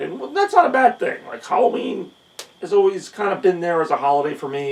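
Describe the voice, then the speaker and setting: The speaker is a man talking at a fairly quick pace. Noticeable background noise runs underneath. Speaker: youtuber and streamer. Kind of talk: casual vlog rant. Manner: somber; hesitant with fillers.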